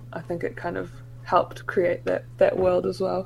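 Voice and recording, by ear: A woman talks with vocal fry at a fairly low pitch.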